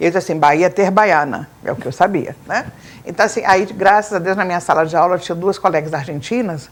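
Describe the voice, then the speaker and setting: A woman of medium pitch speaks at a very fast pace. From grew up abroad in Latin America (Bolivia etc.), German school. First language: Spanish (speaking Portuguese). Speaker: teacher. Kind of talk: interview.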